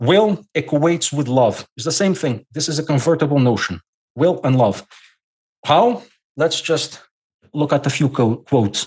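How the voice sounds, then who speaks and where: A fairly slow pace with ordinary pitch variation, in a Portuguese accent. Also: man. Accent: non-native English, Portuguese. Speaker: scholar guest. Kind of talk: podcast interview lecture. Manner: halting.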